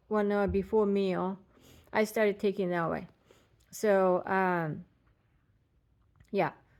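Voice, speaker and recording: Speaking with a non-native accent, a woman uses a medium pitch and monotone, flat intonation at a very slow pace with long, frequent pauses, in a very clean recording with a silent background. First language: not English. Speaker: patient vlogger. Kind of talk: casual personal vlog. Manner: halting, many fillers.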